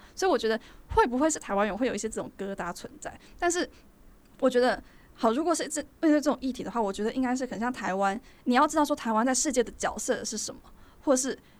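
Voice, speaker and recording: Talking very fast with long, frequent pauses, a woman uses a high pitch and lively intonation. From Taiwan. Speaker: podcast co-host, university student. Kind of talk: casual chat.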